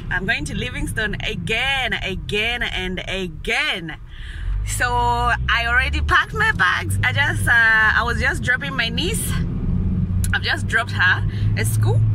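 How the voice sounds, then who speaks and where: A woman talks at a fairly slow pace, her voice dry with no echo, over noticeable background noise. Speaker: vlogger. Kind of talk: casual vlog chat. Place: car. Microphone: phone near.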